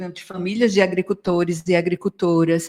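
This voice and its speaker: At a fairly quick pace, a woman speaks in a medium pitch with ordinary pitch variation, a plain, everyday voice. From Brazil, Northeast. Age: 60s. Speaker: yoga teacher and psychologist. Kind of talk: radio interview. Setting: radio studio.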